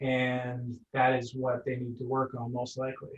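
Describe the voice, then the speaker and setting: A somewhat breathy man's voice at medium pitch, with a slight Nova Scotian accent. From Nova Scotia, Cape Breton (Sydney). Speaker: energy healer. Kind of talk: interview.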